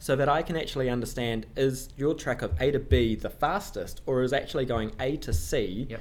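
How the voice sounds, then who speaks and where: With a New Zealand accent, a man talks at a fairly quick pace with hardly any pauses. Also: medium pitch for a man, ordinary pitch variation. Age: 20s. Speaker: management consultant. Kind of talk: casual interview chat. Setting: office room, in person.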